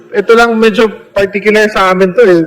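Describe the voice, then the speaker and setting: A man with a high voice talks at a moderate pace, with noticeable background noise present. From Samar, Philippines. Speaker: congressman. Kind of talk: congressional hearing questioning.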